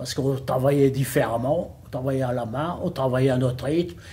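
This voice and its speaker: A man's somewhat breathy, dark, mellow tone comes at a moderate pace. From northern France, Lille area. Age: 80s+. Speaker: retired bookbinding factory worker. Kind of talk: interview testimony. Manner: halting, hesitant with repetitions.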